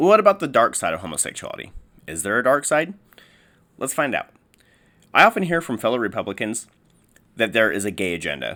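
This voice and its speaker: A man at a very fast pace yet with long, frequent pauses, medium pitch with very wide swings, bright, sharp tone and vocal fry, on a very clean recording with a silent background. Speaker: youtuber. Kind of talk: opinion monologue. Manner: slurring words; halting.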